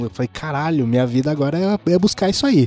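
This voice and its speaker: Music plays behind a man who talks fairly quickly in a fairly high voice with lively intonation, the sound dry and close with no echo. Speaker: podcast co-host. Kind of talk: casual chat.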